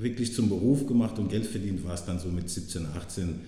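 A man with ordinary pitch variation, in audible room echo. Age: 30s. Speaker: former professional footballer. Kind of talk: casual interview.

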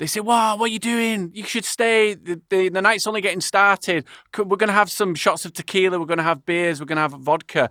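Raised and projected, a man's high voice carries a bright, sharp tone at a fairly quick pace with hardly any pauses, in a dry, close recording with no echo that is very clean over a silent background. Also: ordinary pitch variation. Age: 30s. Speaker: podcast host. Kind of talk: casual interview chat.

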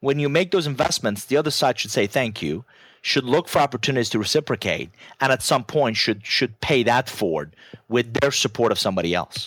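Talking fairly quickly with a Persian accent, a man uses lively intonation and vocal fry at medium pitch, with a dry, close sound and no echo. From Iran. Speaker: business author and keynote speaker. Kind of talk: casual interview chat.

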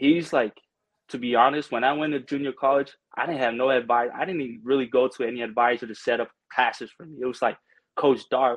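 Speaking with an American accent, a man talks at a fairly quick pace. His medium-pitched voice is a normal speaking voice. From American Samoa. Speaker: former college football player. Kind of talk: casual interview.

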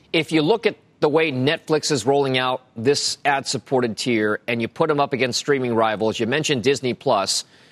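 In a plain, everyday voice, a man at medium pitch talks with ordinary pitch variation, very even loudness and hardly any pauses, the sound dry and close with no echo on a very clean recording with a silent background. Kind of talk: newsreading. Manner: brisk, crisp, authoritative anchor delivery.

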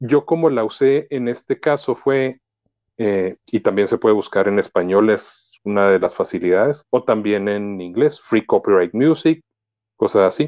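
Delivered in a normal speaking voice, the speech moves at a fairly slow pace with lively intonation. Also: man, medium pitch for a man. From Mexico. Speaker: podcaster and computer engineer. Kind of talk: casual tutorial interview.

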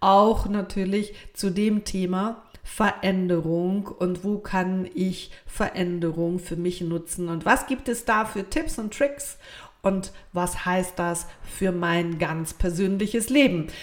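This woman speaks at a very slow pace. Her pitch is medium, with ordinary variation. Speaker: podcast host. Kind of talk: solo podcast monologue.

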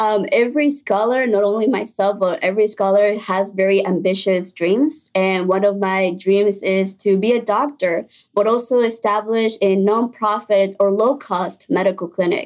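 A woman speaks with a Spanish accent and ordinary pitch variation. Her loudness stays very even, and there are hardly any pauses. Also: medium pitch for a woman, moderate pace. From Mexico, then Illinois from age 10. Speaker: college student. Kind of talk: interview.

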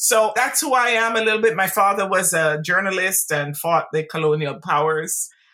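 A woman with a bright, sharp tone speaks at a moderate pace with hardly any pauses. Her intonation is lively and her loudness very even. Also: medium pitch for a woman. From Jamaica. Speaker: business professor and researcher. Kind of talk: interview conversation.

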